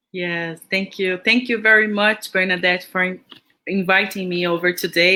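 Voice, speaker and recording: Moderately paced speech from a woman at medium pitch, bright and sharp in tone, with a Brazilian accent. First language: Portuguese. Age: 40s. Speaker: education agency representative. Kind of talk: interview. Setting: livestream.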